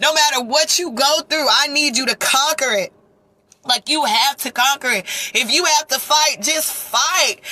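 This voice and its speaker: A woman projects a raised, high-pitched voice with an animated tone and ordinary pitch variation. Her pace is moderate, and the sound is dry and close with no echo. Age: 30s. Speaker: vlogger. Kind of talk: storytime vlog. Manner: emotional, animated.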